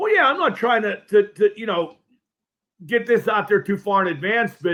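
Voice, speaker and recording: The intonation is lively. The pace is moderate. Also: man. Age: 60s. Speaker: sports talk host. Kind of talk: casual sports talk. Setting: live stream. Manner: halting, repeats words.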